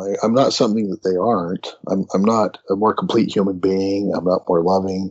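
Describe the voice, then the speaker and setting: A normal speaking voice from a man, fairly low-pitched and moderately paced. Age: 50s. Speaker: theologian and author. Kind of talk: casual interview discussion.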